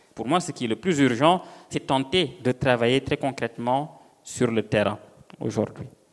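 Speaking at a fairly slow pace, the male speaker uses an ordinary speaking voice. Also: medium pitch for a man, ordinary pitch variation. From Senegal. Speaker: novelist. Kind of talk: panel discussion.

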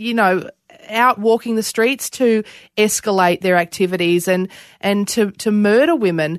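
Over a quiet background, with dry, close sound and no echo, a woman with an Australian accent talks fairly slowly at a medium pitch with lively intonation. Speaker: podcast host. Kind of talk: interview.

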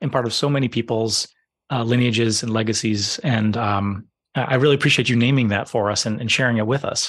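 Over a quiet background, a man with an unremarkable speaking voice talks at a moderate pace, medium in pitch, with ordinary pitch variation. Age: 30s. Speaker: podcast host. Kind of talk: scripted narration; interview conversation.

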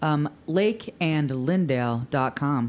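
A robotic, put-on character voice comes through at a low-to-middle pitch. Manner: robotic, over-enunciated like a voice assistant.

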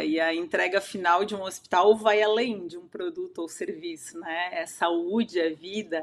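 Here is an ordinary speaking voice. It belongs to a woman talking at a moderate pace and a medium pitch. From Santa Catarina, southern Brazil. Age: 40s. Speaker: wellness consultant and coach. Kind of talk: interview.

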